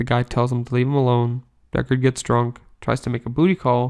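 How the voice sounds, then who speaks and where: A deadpan, bored tone in a monotone, flat intonation, fairly quick in pace, over a quiet background. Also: man. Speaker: movie reviewer. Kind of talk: scripted review monologue. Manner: monotone, bored-sounding; deadpan sarcastic.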